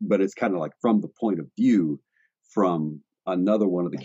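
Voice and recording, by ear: The background stays quiet. A speaker is reading aloud in a natural voice.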